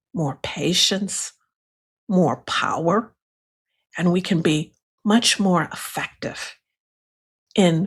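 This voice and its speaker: Somewhat breathy, a woman speaks at a very slow pace in a medium pitch. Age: 60s. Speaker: astrologer and hypnotherapist. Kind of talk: educational talk. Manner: halting.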